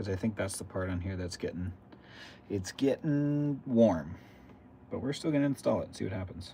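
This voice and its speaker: With long, frequent pauses, a man speaks in a fairly low, somewhat breathy voice that has a dark, mellow tone and lively intonation. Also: moderate pace. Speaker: RC hobby livestreamer. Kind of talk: casual livestream chat while building. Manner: mumbling at times.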